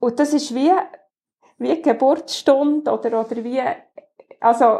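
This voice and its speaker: A woman speaks in a high voice with a dark, mellow tone. Her pitch varies in an ordinary way. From Bernese Oberland, Switzerland (between Frutigen and Adelboden). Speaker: carpenter and business owner. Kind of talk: interview.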